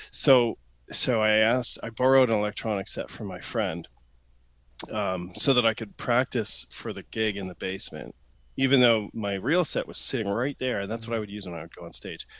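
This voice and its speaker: With a southern Ontario accent, a man with a fairly low pitch and bright, sharp tone speaks at a fairly quick pace with big swings in loudness on a very clean recording with a silent background. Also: ordinary pitch variation. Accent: Canadian, southern Ontario. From London, Ontario, Canada. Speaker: guest, randonneur and IT professional. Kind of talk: casual chat, podcast interview.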